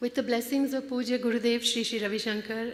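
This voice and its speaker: Monotone, flat intonation in a woman's fairly high-pitched voice. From India (Kolkata). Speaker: conference director. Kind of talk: welcome speech. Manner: halting.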